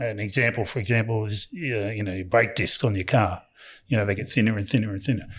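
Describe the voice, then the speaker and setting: This man has an Australian accent and a somewhat breathy voice. He talks at a fairly quick pace. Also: very clean recording, silent background. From New South Wales, Australia. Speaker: company founder and executive. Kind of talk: interview. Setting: on site at company premises.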